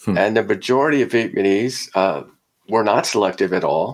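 The intonation is lively and the pace moderate. It is an ordinary speaking voice. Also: man. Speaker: sociologist professor. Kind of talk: academic interview, argumentative.

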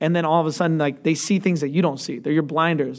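A man talks at a fairly high pitch. The recording is very clean, with a silent background. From Atlanta, US South. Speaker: reality TV contestant. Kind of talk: casual interview. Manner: animated.

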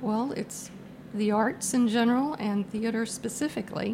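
Somewhat breathy and fairly high in pitch, a woman speaks in an American accent with fairly even intonation. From Virginia. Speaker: theatre patron and sponsor. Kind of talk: casual interview.

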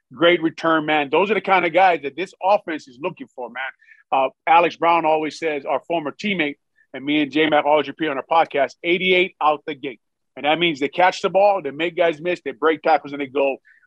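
Pitched fairly high, a man talks fairly quickly in an ordinary speaking voice, keeping his intonation fairly even. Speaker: former football player, podcast host. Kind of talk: radio interview, casual sports talk.

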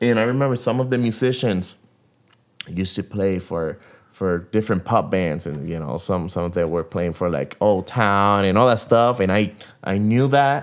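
In a Spanish accent, a man speaks at a fairly low pitch. His intonation is lively, and his pace is moderate. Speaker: guitarist. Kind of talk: casual interview chat. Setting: in an apartment. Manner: talkative.

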